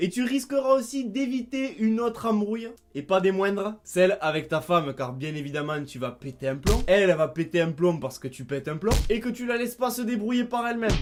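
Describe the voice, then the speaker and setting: Speaking in a Toulouse accent over music in the background, a man with a high pitch moves at a fairly quick pace with very wide pitch swings and hardly any pauses. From Toulouse, southern France. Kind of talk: comedic rant to camera.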